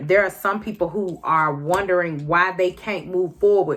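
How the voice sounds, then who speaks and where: An unremarkable speaking voice, its intonation fairly even. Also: woman. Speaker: tarot card reader. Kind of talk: tarot reading to camera.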